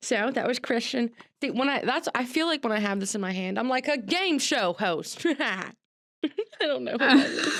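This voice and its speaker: Using very wide pitch swings, a woman speaks at a high pitch and a moderate pace. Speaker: podcast host. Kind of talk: casual chat. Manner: halting.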